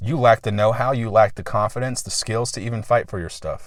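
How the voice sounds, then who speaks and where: A man with an American accent speaks at a medium pitch in a somewhat breathy voice, on a very clean recording with a silent background. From US West Coast, San Diego. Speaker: YouTuber, prepper. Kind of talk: casual vlog monologue. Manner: fast.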